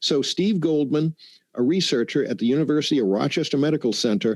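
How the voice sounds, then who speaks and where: On a very clean recording with a silent background, a man speaks at a very fast pace in a fairly high voice, with lively intonation and very even loudness. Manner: reading aloud.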